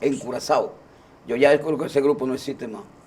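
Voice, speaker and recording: A man speaks over noticeable background noise. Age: 60s. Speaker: singer. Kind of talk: casual chat. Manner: halting.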